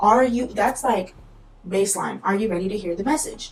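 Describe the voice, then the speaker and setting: The intonation stays fairly even. Music plays behind the voice. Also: woman. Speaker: tarot reader, video creator. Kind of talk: casual talk-to-camera advice video. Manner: casual, conversational with fillers.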